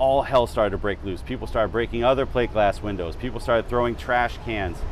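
A man talks at a fairly quick pace with ordinary pitch variation. Light noise sits in the background. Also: dry sound with no echo. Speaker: historian tour guide. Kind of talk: interview answer. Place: street. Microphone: lapel.

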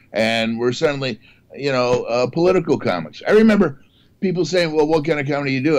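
A man with a fairly high pitch and lively intonation, at a very fast pace. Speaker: comedian. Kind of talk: casual chat. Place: home room. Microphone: video call.

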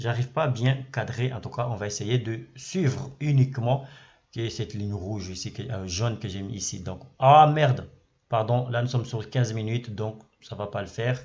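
Somewhat breathy, a man talks at a moderate pace. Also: medium pitch for a man, ordinary pitch variation. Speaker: trading educator YouTuber. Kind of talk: screen-share tutorial. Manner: repetitive, filler words, casual.

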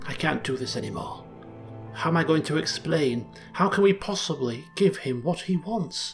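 Over clear background music, a squeaky, put-on character voice at a middle pitch moves at a moderate pace. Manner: quick, hushed, squeaky.

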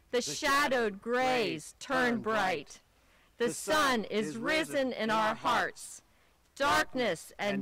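Speaking at a very slow pace, a woman with a high pitch swings her pitch very widely, and the dry, echo-free sound carries light background noise. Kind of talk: liturgical welcome and reading. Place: open country.

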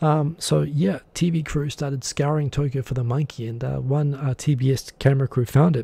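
A man speaks in a somewhat breathy voice, recorded dry with no echo. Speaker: livestream host. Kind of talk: casual live-stream commentary. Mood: amused storytelling. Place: home room. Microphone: studio mic.

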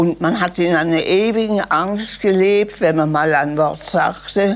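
A woman's very slow speech with ordinary pitch variation. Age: 80s+. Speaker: historical eyewitness. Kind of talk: interview answer. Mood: reflective, emotional recollection.

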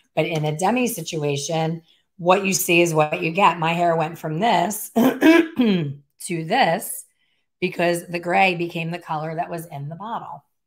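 A put-on character voice, raspy and at a middle pitch, moves at a moderate pace. The recording is very clean, with a silent background. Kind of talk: tutorial. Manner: excited.

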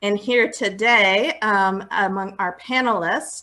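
Against a quiet background, a woman speaks at a very slow pace with a bright, sharp tone. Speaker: panel moderator. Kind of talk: moderator introduction. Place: home room. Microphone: earbuds.

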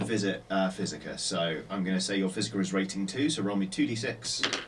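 A man's fairly low voice at a moderate pace, with ordinary pitch variation and noticeable background noise. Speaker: tabletop game master. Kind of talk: tabletop role-play session. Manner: animated. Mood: relaxed, hesitant fillers. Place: studio.

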